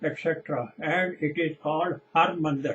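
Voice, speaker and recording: A Punjabi accent at a fairly slow pace. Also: man. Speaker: preacher. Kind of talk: sermon.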